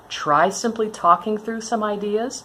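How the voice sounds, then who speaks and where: At a moderate pace, a woman with a fairly high pitch speaks over noticeable background noise. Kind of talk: tutorial talk to camera. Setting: indoors, hail on the roof.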